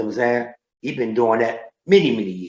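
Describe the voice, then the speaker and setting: At a moderate pace and medium pitch, a man talks in a normal speaking voice. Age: 60s. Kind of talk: casual interview chat.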